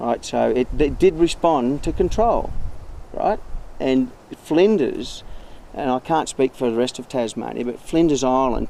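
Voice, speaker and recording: In an Australian accent, a man talks at a moderate pace with a dark, mellow tone and ordinary pitch variation. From central West Queensland, Australia. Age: 50s. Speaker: recreational fisher. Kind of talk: interview testimony. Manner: halting, with repetitions.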